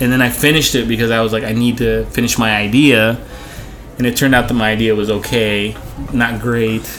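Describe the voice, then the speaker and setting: Music plays in the background while a man speaks at a fairly quick pace in a flat monotone. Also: medium pitch for a man. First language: not English. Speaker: art director. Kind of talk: casual chat. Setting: bar booth recording with drinks.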